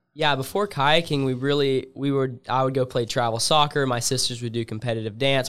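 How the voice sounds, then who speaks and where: A man with an American accent speaks in a normal speaking voice at a fairly quick pace, his intonation fairly even. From US South, Alabama. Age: young. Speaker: freestyle kayaker. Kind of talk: casual interview.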